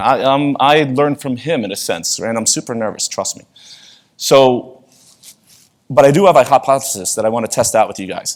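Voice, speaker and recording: A man with a New York accent and a medium pitch talks at a moderate pace with lively intonation and big swings in loudness. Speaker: conference speaker. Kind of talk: conference talk. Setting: stage with audience. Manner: casual, conversational.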